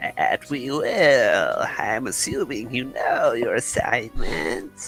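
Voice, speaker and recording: A put-on character voice speaks at a very slow pace over clear music in the background. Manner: formal, commanding.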